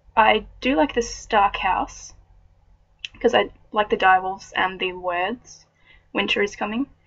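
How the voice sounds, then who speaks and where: A woman with an Australian accent and vocal fry speaks at a fairly slow pace and medium pitch, with ordinary pitch variation and long, frequent pauses. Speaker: vlogger. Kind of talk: reading aloud; casual chat.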